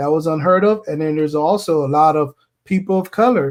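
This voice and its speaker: A man with a Puerto Rican accent, fairly high-pitched, with ordinary pitch variation and a moderate pace. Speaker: podcast host. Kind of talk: casual chat.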